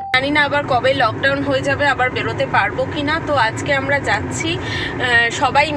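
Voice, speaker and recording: A woman speaks in a raised, projected voice. There is noticeable noise in the background. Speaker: family vlogger. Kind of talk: casual vlog chat. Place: car. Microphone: phone near.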